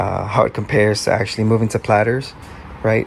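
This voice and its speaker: A man speaks at a fairly quick pace with a fairly low pitch. Background noise is noticeable. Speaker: DJ. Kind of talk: casual talk to camera.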